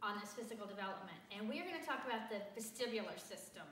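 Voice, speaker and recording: A woman with a high-pitched voice speaks in a Southern US accent. The room has an audible echo, and background noise is noticeable. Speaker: teacher. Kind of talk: tutorial. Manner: casual, conversational.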